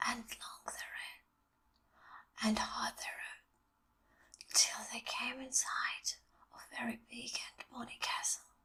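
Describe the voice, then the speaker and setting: Whispering at a fairly slow pace, the voice has a gentle tone. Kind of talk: ASMR bedtime story reading. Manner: soft-spoken, gentle; slow, relaxing.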